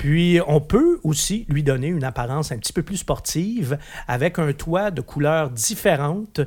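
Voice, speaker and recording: With a Quebec accent, a man speaks fairly slowly at a fairly high pitch, his intonation lively, on a very clean recording with a silent background. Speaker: automotive journalist. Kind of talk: casual car review discussion.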